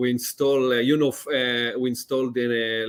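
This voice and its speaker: With an Israeli accent, a man speaks in a monotone, flat intonation. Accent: Israeli accent, often mistaken for French. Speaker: lighting company account executive. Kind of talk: podcast interview. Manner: halting, many fillers.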